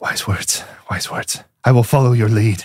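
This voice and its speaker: Using a put-on character voice, a man speaks raspy at a medium pitch and a moderate pace. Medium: actual play. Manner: eerie, devoted.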